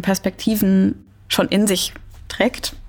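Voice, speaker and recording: A woman is speaking here. Her pace is very slow. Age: 20s. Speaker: dance dramaturge. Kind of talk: interview. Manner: hesitant with frequent fillers.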